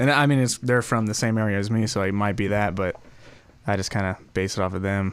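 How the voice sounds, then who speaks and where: At a fairly quick pace, a man with an American accent speaks in a fairly low pitch with monotone, flat intonation. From Southern California, Lake Elsinore. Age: 20s. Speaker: singer. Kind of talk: casual interview. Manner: halting.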